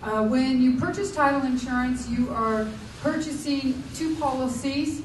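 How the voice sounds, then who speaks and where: Audible room echo surrounds a woman speaking in a high voice. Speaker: title insurance professional. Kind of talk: workshop presentation. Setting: public library workshop with audience.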